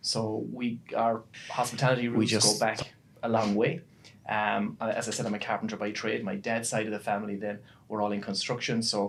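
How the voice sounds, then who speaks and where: In a western Irish accent, a man talks at a fairly quick pace, his fairly low pitch held in a monotone, flat intonation. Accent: Irish (west of Ireland). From Ireland, Galway. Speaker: business executive, carpenter by trade. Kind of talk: podcast interview.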